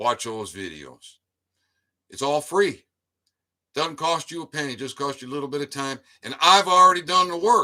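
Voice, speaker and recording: A bright, sharp, animated voice with lively intonation moves at a moderate pace, with long, frequent pauses and big swings in loudness. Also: man, fairly high pitch for a man. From US Midwest, Detroit suburbs. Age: 70s. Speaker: YouTube commentator. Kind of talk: livestream monologue. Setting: live stream.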